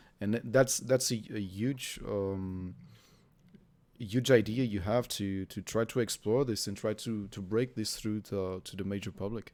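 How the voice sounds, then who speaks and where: Speaking at a fairly slow pace, a man with a Portuguese accent keeps a fairly even intonation at a fairly low pitch. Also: very clean recording, silent background. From Portugal. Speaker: gaming journalist interviewer. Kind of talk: interview. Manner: halting.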